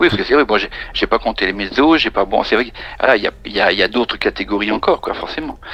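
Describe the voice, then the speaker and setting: Very fast, lively talk from a man at medium pitch, with noticeable background noise. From France, Charente-Maritime. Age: 50s. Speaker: countertenor singer. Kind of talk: interview. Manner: halting.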